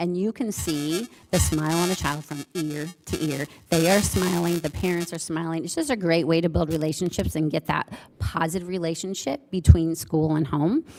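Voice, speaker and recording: The woman's pitch sits fairly low, and her intonation stays fairly even. Music plays in the background. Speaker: school principal. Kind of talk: presentation to school board. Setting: board meeting room. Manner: fast.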